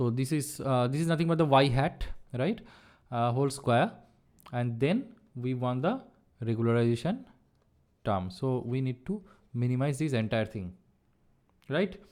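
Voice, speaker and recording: A man with a medium pitch talks at a moderate pace with lively intonation. He leaves long, frequent pauses. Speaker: online course instructor. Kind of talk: lecture.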